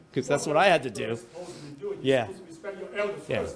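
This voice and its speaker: A man with a Cantonese accent swings his pitch very widely against noticeable background noise. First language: Toisan Chinese. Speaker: local business owner's son recalling family history. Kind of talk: community history talk.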